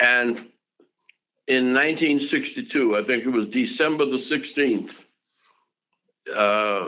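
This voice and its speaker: Very slowly, with long, frequent pauses, a man speaks at a medium pitch, keeping his loudness very even and his pitch variation ordinary. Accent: American. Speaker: civil rights activist, pastor, politician, diplomat. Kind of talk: interview answer, reminiscing.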